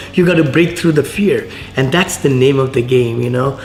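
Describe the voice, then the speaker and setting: A man speaks with a strong Indian accent. Noticeable background noise and audible room echo surround his voice. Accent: thick Indian. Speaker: real estate investor. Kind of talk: casual chat. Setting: at a lunch table on site.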